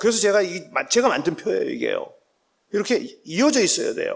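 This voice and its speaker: A man talks fairly quickly, with audible room echo around his voice. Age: 60s. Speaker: professor. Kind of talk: lecture. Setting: church.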